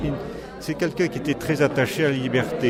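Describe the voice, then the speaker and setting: A man's fairly high voice with ordinary pitch variation, plus noticeable background noise and audible room echo. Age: 60s. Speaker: magistrate. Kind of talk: interview.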